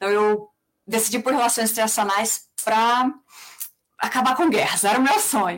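A woman speaks at a moderate pace in a fairly high pitch, keeping very even loudness and fairly even intonation, with long, frequent pauses. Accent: São Paulo. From Brazil, mostly São Paulo. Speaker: peace researcher and conflict facilitator. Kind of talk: interview.

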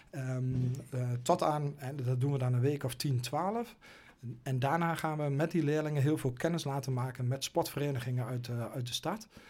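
His pitch is fairly high for a man. The man's voice comes across somewhat breathy. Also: ordinary pitch variation, moderate pace. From Twente, eastern Netherlands. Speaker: goalkeeping coach. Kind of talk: interview conversation. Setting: studio. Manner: halting, many fillers.

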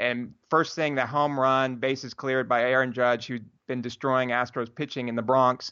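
With hardly any pauses, a man talks at a moderate pace and a medium pitch. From Houston, Texas. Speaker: sports podcast host. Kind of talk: casual sports chat. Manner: animated.

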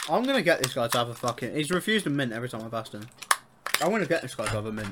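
Against noticeable background noise, a man talks at a very fast pace in a medium pitch with lively intonation. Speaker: podcast co-host. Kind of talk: casual chat.

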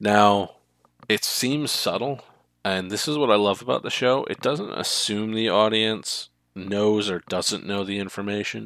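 This is a man with a fairly low pitch and a normal speaking voice. His pitch varies in an ordinary way over a very clean, silent background. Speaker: podcast host. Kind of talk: casual chat.

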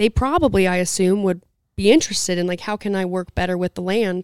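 A woman speaks at a fairly quick pace with an American accent, her medium pitch moving with ordinary variation in an ordinary speaking voice. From southern Utah. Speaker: podcast co-host, rancher. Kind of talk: casual chat. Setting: event venue.

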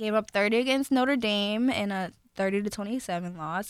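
A woman with a normal speaking voice, fairly high in pitch, at a fairly quick pace and with ordinary pitch variation, on a very clean recording with a silent background. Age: 20s. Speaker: sports podcast co-host. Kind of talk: casual chat.

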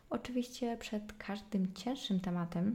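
A woman's somewhat breathy voice at medium pitch, dark and mellow in tone. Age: 20s. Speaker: podcaster. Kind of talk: solo casual monologue. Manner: chatty.

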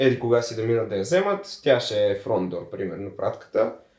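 The man talks fairly quickly, his voice somewhat breathy and his intonation lively. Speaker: seasonal worker. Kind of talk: casual chat.

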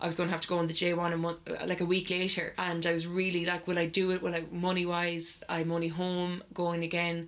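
Speaking in an Irish accent, a woman with a fairly low pitch moves at a fairly quick pace in a monotone, flat intonation. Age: 20s. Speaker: podcast co-host. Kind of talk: casual chat. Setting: garden shed makeshift studio.

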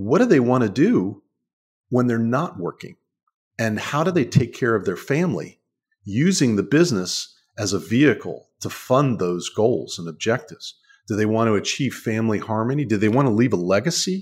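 With an American accent and a normal speaking voice, a man at medium pitch talks at a moderate pace with lively intonation on a very clean recording with a silent background. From Washington, D.C. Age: 60s. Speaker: author and succession planning lawyer. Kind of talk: interview.

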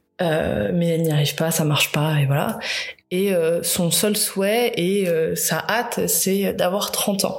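With audible room echo, a woman speaks at a very slow pace in a fairly low pitch with fairly even intonation. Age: 30s. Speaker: podcaster. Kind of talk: personal monologue. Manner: halting.

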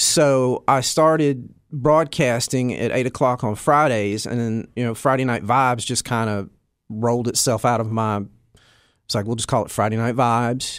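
A man speaks at a medium pitch with an American accent. The recording is very clean, with a silent background. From US South (Alabama, Tennessee, Kentucky). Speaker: drummer and music teacher. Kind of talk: casual interview.

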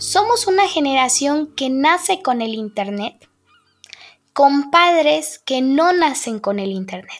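Speaking very slowly, a woman with a high voice swings very widely in pitch. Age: 20s. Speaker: family studies graduate and communications coordinator. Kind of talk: interview conversation.

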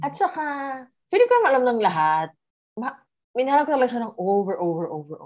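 Pausing long and often, a woman speaks very fast at a high pitch, with very wide pitch swings and big shifts in loudness. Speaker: guest sharing relationship story. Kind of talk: casual chat, personal story.

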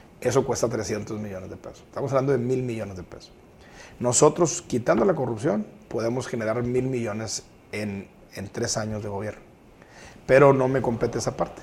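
Somewhat breathy, a man of medium pitch talks at a fairly quick pace with ordinary pitch variation and big swings in loudness. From Guadalupe, Nuevo León, Mexico. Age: 40s. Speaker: mayoral candidate. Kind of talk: interview.

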